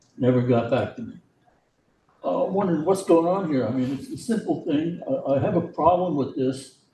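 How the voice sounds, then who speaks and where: Pitched high for a man, this voice swings very widely in pitch at a fairly quick pace, with audible room echo. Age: 80s+. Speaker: former school board member. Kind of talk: public comment at meeting. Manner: halting.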